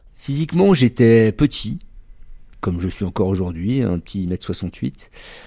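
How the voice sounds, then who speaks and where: In a very clean recording with a silent background, a man with a dark, mellow tone speaks at a very slow pace using lively intonation. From France, Bordeaux. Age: 40s. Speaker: adult trainer, former firefighter. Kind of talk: testimony.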